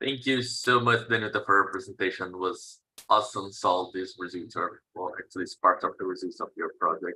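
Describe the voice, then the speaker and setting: A man talks at a fairly quick pace with a Portuguese accent. He leaves hardly any pauses. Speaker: seminar moderator. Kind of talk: moderating Q&A. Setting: video call.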